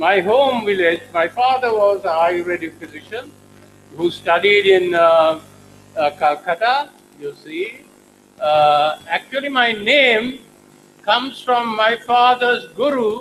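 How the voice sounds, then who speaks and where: With music in the background, a man talks very slowly in a high pitch and lively intonation. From Sri Lanka. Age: 80s+. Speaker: professor. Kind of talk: lecture. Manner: halting.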